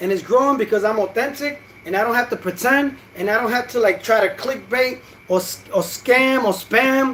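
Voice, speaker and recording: Man's extremely high voice at a moderate pace, animated, with ordinary pitch variation and noticeable background noise. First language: Spanish. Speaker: boxing YouTuber. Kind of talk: casual vlog commentary. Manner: animated, hesitant with fillers.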